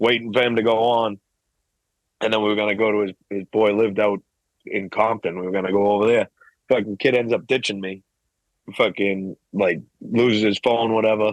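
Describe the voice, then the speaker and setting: A man's fairly low, flat monotone in a Boston accent, fairly quick but broken by long, frequent pauses. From Massachusetts, Boston area (Weymouth). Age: 30s. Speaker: hip hop artist. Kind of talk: casual chat.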